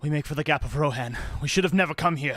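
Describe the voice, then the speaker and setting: Using a put-on character voice, a man talks at a very fast pace. His pitch is fairly high and his intonation fairly even. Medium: audio drama.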